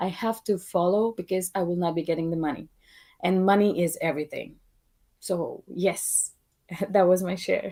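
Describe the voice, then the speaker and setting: This woman has a dark, mellow tone and talks at a moderate pace with fairly even intonation. Long pauses come often. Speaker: participant in discussion. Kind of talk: casual group discussion. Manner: calm, measured.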